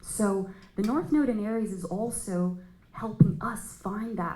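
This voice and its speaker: A woman with a non-native accent talks at a fairly slow pace, medium in pitch with ordinary pitch variation. Room echo can be heard. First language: not English. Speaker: astrologer. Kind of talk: panel discussion. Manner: halting.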